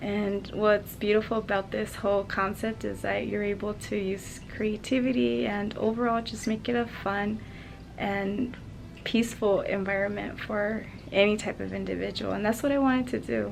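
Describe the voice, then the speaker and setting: A woman speaks in a soft-spoken way. Her pace is moderate. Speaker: interior designer and school counselor. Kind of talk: casual vlog. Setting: school office.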